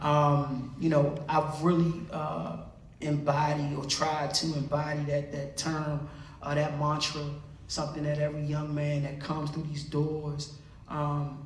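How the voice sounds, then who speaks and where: Speaking at a fairly slow pace with an American accent, a man with a fairly high pitch keeps a monotone, flat intonation amid noticeable background noise and audible room echo. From Washington DC. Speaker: podcast co-host, author and community activist. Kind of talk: casual talk to a school audience. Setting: school hall with live audience.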